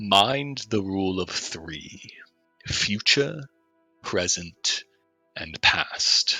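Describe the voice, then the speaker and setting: Putting on a character voice, a man speaks very slowly at a fairly low pitch while faint music plays in the background. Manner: cryptic, warning.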